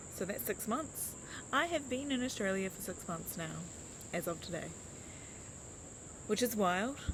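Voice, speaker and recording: With a New Zealand accent, a woman speaks at a fairly high pitch with very wide pitch swings. She keeps a moderate pace, with long, frequent pauses. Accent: New Zealand, mumbling. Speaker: life coach. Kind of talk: casual vlog chat. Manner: rambling with fillers and hesitations.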